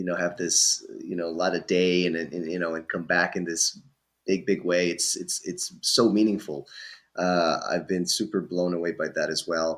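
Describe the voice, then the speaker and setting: The recording is very clean with a silent background as a man speaks at a moderate pace. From Brazil, São Paulo. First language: Portuguese. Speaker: voice actor. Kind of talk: podcast interview. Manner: halting, many fillers and repeated words.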